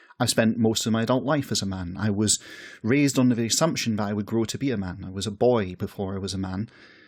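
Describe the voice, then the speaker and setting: In a very clean recording with a silent background, a man speaks very fast. His pitch is fairly low, with ordinary variation. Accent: Scottish. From west coast of Scotland. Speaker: podcast host. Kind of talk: personal essay monologue. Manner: reflective, conversational.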